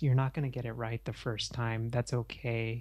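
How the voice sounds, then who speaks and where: A man's somewhat breathy voice. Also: very clean recording, silent background. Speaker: podcaster and therapist business coach. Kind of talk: interview. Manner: hesitant, many fillers.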